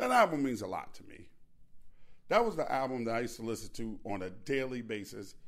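At a medium pitch, a man talks fairly quickly in an animated tone with big swings in loudness, with audible room echo. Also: ordinary pitch variation. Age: 50s. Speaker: podcast host. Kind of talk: casual solo monologue.

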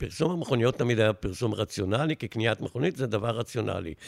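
A man with an unremarkable speaking voice talks at a moderate pace and medium pitch. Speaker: retired advertising executive. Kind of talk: interview storytelling.

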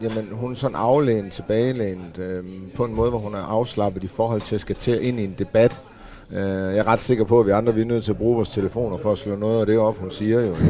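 With noticeable background noise behind him, a man speaks very fast at a fairly low pitch and with fairly even intonation. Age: 40s. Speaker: former biker gang member. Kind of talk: casual panel discussion. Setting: café.

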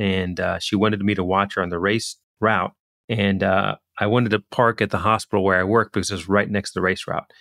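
A man with a normal speaking voice talks at a fairly low pitch and a fairly quick pace, with fairly even intonation. The sound is dry and close with no echo, in a very clean recording with a silent background. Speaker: physician and economist, author. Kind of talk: interview.

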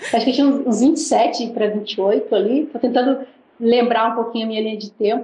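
A woman with a fairly high voice talks at a moderate pace and fairly even intonation, noticeable background noise audible throughout. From Brazil. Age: 40s. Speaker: missionary and former footballer. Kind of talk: interview.

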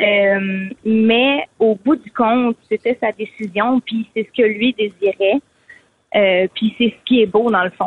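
A woman talks at a very slow pace, her loudness rising and falling in big swings. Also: fairly high pitch for a woman, ordinary pitch variation. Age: 20s. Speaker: caller. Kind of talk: testimony. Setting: phone call.

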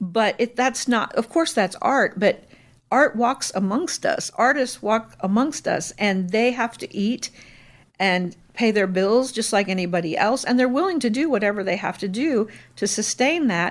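At a moderate pace, a woman with a fairly high pitch and lively intonation speaks in an unremarkable speaking voice. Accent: American. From Indiana, US Midwest. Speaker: retired restaurant owner and chef. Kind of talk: casual interview.

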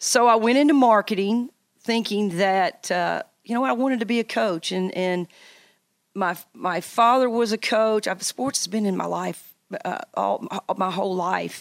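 In a Tennessee accent, a woman speaks at a moderate pace and medium pitch with ordinary pitch variation, recorded very cleanly against a silent background with a dry, close sound and no echo. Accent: Southern US (Tennessee). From US South, Tennessee. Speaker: college basketball coach. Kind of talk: interview.

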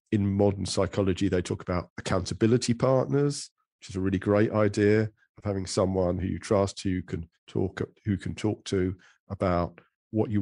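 With an English accent, a man speaks at a moderate pace in a fairly low, dark, mellow voice with fairly even intonation, recorded dry and close with no echo against a quiet background. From England. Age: middle-aged. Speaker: psychotherapist and author. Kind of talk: interview. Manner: halting.

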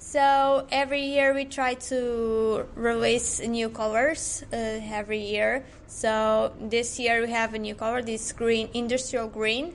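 A woman's fairly high voice in a Portuguese accent, very slow yet with hardly any pauses, and fairly even in intonation. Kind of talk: casual interview. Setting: retail outlet. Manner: halting.

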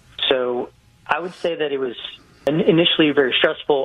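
Noticeable noise fills the background. Against it, a man talks at a medium speed. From Hawaii. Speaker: real estate investor. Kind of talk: radio interview.

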